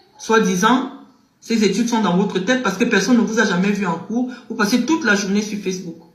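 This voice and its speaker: In a room with audible echo, a man with a Cameroonian accent speaks at a fairly quick pace in a high pitch with ordinary pitch variation. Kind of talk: heated criticism.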